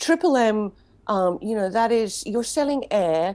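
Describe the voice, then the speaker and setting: Woman's voice in a dark, mellow tone, fairly high pitch and lively intonation, over a quiet background. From Queensland, Australia. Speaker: music PR company director. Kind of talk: interview.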